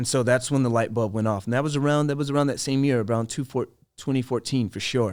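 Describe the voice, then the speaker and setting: A man's very fast speech at a medium pitch, with fairly even intonation. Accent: American. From US inner city. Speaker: voice and screen actor. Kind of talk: interview. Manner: conversational.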